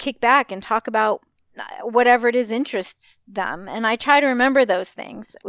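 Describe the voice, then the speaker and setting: With an American accent, a woman talks at a moderate pace in a normal speaking voice, fairly high in pitch with fairly even intonation, on a very clean recording with a silent background and a dry, close sound with no echo. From Los Angeles. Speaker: high school English teacher. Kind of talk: interview.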